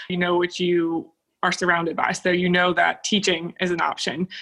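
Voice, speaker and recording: Her tone bright and sharp, a woman speaks at a medium pitch. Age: 20s. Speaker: process engineer. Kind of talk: interview.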